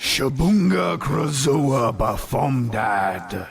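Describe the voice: Putting on a booming, raspy character voice at a medium pitch, a man speaks at a very slow pace.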